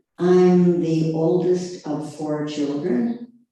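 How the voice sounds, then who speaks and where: Audible room echo surrounds a woman with an American accent and a very deep, low pitch. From US Midwest (central Wisconsin). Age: 80s+. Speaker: retirement community resident. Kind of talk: life story interview.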